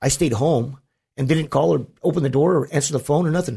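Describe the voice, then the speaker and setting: This man has an American accent and a somewhat breathy voice with lively intonation. He talks at a fairly quick pace in a very clean recording with a silent background. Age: 40s. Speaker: former gang member and prisoner. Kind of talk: casual chat.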